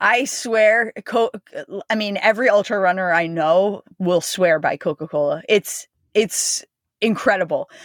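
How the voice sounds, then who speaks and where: A normal speaking voice from a woman, medium in pitch with ordinary variation, at a fairly slow pace, in dry, close sound with no echo. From New Jersey, US. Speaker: ultramarathon runner. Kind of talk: casual interview chat.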